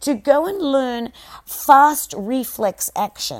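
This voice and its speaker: In an Australian accent, a woman sounds animated on a very clean recording with a silent background. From Australia, Melbourne. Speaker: podcast host, SEO marketer. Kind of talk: solo monologue podcast. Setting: home recording without proper audio equipment. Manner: animated, rambling with fillers.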